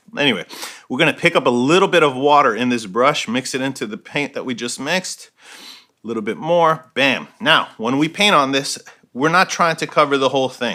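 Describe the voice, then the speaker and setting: Talking at a fairly quick pace, a man uses ordinary pitch variation. His fairly high voice has a bright, sharp tone. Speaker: painter. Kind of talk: tutorial. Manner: fast; casual.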